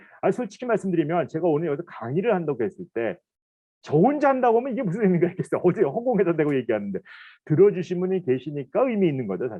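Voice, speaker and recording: Talking at a very fast pace, a man with a high pitch takes an animated tone, his pitch making very wide swings. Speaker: professor. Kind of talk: lecture. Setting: recorded online lecture.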